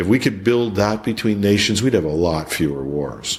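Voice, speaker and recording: A man with a Canadian accent at a moderate pace. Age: 60s. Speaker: IT executive and songwriter. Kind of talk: interview conversation. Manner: halting, many repeated words.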